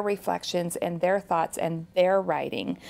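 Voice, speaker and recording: Moderate pace and ordinary pitch variation in a normal speaking voice. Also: woman. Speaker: author and educator. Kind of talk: interview about teaching grammar.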